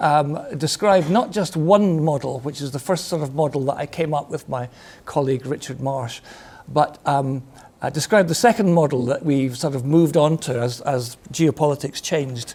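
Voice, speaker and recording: A man speaks with a Scottish accent. His pitch is fairly high, with ordinary pitch variation. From Scotland, Glasgow. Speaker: retired army officer and defence consultant. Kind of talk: lecture. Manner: fast; hesitant, many fillers.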